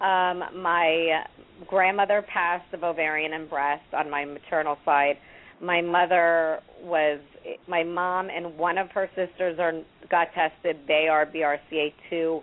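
A woman speaks very slowly with an American accent. Her fairly low pitch stays monotone, with flat intonation. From New Jersey. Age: 30s. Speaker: cancer survivor. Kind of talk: interview.

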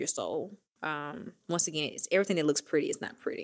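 Speaking with a Southern US accent, a woman shows ordinary pitch variation. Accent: Southern US, country. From Mississippi, US South. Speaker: fintech founder and CEO. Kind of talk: casual interview chat. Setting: studio.

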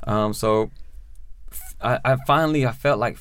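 This man speaks with an American accent at a medium pitch. He has ordinary pitch variation and a plain, everyday voice. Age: 30s. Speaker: prison reform advocate, formerly incarcerated. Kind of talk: interview, personal testimony.

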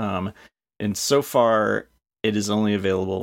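At a moderate pace, a man speaks in an ordinary speaking voice with fairly even intonation. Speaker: podcast co-host. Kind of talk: casual chat.

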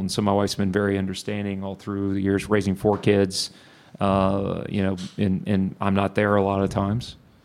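A man with a Texas accent, fairly low pitch, and a fairly quick pace. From Texas (Bryan). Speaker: solar company CEO. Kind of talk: live interview. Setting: stage with audience.

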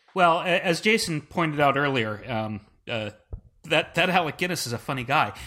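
A man speaks with a bright, sharp tone, a fairly high pitch and lively intonation. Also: moderate pace. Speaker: old-movie expert. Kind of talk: casual chat.

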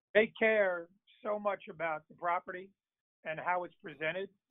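With an American accent, the speaker keeps a moderate pace and fairly even intonation. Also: man. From Virginia. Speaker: TV sports producer. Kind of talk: interview. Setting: on the road.

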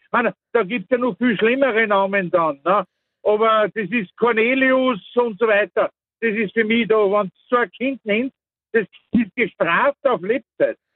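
At a fairly slow pace, a man speaks with high pitch and ordinary pitch variation. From Austria, Mostviertel. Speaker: caller. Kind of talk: opinionated phone-in.

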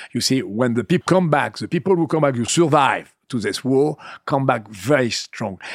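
A man with a French accent speaks at medium pitch and a moderate pace, his intonation lively. The recording is very clean with a silent background, dry and close with no echo. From western France (Vendée). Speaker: winemaker. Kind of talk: interview. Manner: halting.

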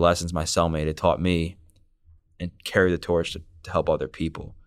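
A man with an American accent speaks at a moderate pace in a very deep, low pitch, his intonation fairly even. The recording is very clean with a silent background. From Baltimore, Maryland suburbs. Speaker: personal trainer and author. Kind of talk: interview, personal life story.

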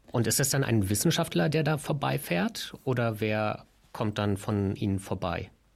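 A man with an unremarkable speaking voice and fairly low pitch keeps very even loudness and lively intonation in a very clean recording with a silent background. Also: fairly slow pace. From Berlin. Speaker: podcast co-host. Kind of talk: interview.

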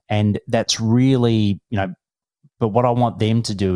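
The background is silent, and the recording is very clean. A man's speech unfolds very slowly. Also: dry, close sound with no echo. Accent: Australian. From Australia. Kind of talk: casual chat.

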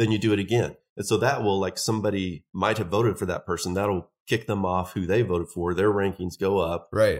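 Delivered in a plain, everyday voice at a fairly quick pace with hardly any pauses, the speech keeps a fairly even intonation on a very clean recording with a silent background. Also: man, fairly low pitch for a man. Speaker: guest. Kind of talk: casual chat.

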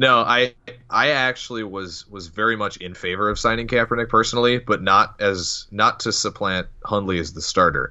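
A man speaks at a medium pitch, with ordinary variation in his pitch. His is a plain, everyday voice. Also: moderate pace, big swings in loudness. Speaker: sports blogger. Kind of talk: casual chat.

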